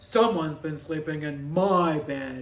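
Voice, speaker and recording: A woman's put-on character voice, growling and very deep, at a fairly slow pace. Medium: read story.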